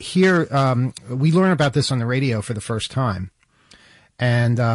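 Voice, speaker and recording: At a fairly slow pace, a man with a medium pitch and a somewhat breathy voice talks with ordinary pitch variation over a quiet background. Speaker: radio host. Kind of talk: casual chat. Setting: studio.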